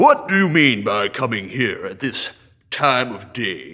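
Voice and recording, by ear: A man's gruff, growling put-on character voice, fairly slow in pace, with big swings in loudness. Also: medium pitch for a man.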